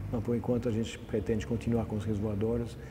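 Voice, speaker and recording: A man's fairly low voice with fairly even intonation amid audible room echo. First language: not Portuguese (speaking Portuguese). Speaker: environmental aviator. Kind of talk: TV interview. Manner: halting, many repetitions and fillers.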